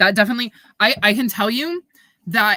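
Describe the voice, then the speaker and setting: A woman's bright, sharp voice with lively intonation, in a New York accent, on a very clean recording with a silent background. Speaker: booktuber livestreamer. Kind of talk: casual livestream chat reading chat comments. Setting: livestream. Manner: hesitant, many fillers.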